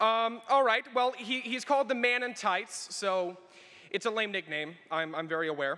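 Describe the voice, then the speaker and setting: A man speaks in a raised, projected voice at a high pitch with a bright, sharp tone. His intonation is lively and his pace is moderate. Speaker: student speaker; speaker. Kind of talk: ceremony speech. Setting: arena stage with audience. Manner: theatrical. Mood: lightly humorous, earnest. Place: hall. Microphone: podium.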